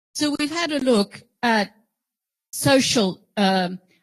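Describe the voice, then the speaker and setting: A woman with an Australian accent speaks very slowly at a fairly high pitch. Her somewhat breathy voice swings very widely in pitch, heard in a dry, close sound with no echo. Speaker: professor. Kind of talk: lecture. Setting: auditorium with audience.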